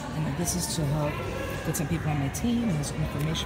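Loud noise fills the background while a woman speaks. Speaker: direct sales representative. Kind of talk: casual talk to camera. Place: hall. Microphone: phone near.

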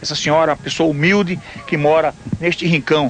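Over light background noise, a man talks in an ordinary speaking voice at a fairly high pitch, with fairly even intonation and a fairly quick pace. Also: dry sound with no echo. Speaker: TV reporter. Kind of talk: TV news report narration. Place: open country. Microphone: handheld.

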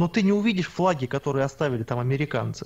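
Somewhat breathy, a man rattles along at a very fast pace with lively intonation. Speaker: alternative earth theories researcher. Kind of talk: heated debate. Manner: argumentative.

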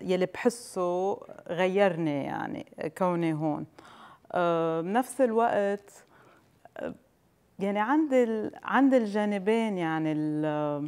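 Pausing long and often, a woman with a medium pitch and a dark, mellow tone speaks very slowly with lively intonation. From Palestine. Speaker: chocolate entrepreneur; interview guest. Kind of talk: TV interview. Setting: studio with audience. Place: studio.

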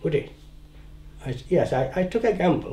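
His tone is dark and mellow, somewhat breathy. The man's intonation is lively. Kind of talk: documentary interview answer.

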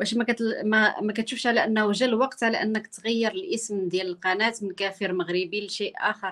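Against a quiet background, a woman talks at a moderate pace in an ordinary speaking voice with ordinary pitch variation. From Morocco. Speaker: journalist interviewer. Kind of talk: interview.

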